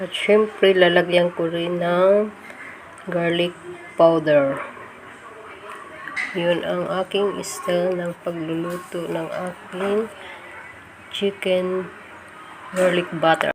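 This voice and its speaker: Amid noticeable background noise, a woman with a fairly low pitch speaks at a very slow pace in a flat monotone, with long, frequent pauses. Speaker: home cooking vlogger. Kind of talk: cooking tutorial. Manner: casual, friendly.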